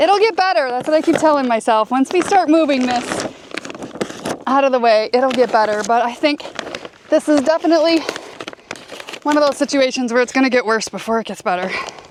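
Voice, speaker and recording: Over noticeable background noise, a woman with a high pitch talks at a fairly quick pace with lively intonation, broken by long, frequent pauses. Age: 50s. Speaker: dump truck company owner and farmer. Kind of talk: casual talk to camera.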